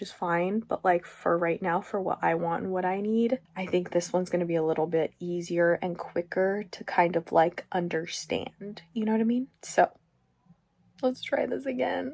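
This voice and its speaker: A woman with an unremarkable speaking voice speaks at a medium pitch and moderate pace with ordinary pitch variation. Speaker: sewing vlogger. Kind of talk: casual vlog.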